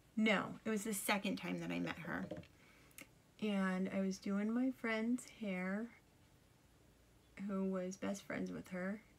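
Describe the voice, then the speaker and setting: Quiet and very slow, a woman at a medium pitch speaks in a monotone, flat intonation with long, frequent pauses. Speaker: makeup tutorial vlogger. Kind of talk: makeup tutorial, casual chat. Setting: alone at home. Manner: talking quietly.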